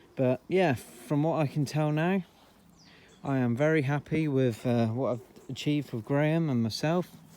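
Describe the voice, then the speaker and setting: A man with a Devon accent and a dark, mellow tone talks at a moderate pace with ordinary pitch variation. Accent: rural Devon. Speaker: car enthusiast vlogger. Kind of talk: casual car video commentary. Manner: casual, hesitant with fillers.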